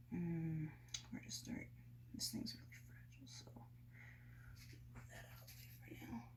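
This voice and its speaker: Whispering at a moderate pace, a woman leaves long, frequent pauses, with big swings in loudness and audible room echo. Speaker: antique collector vlogger. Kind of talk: casual vlog narration while cleaning. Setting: at home, kitchen sink. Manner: hesitant, many fillers.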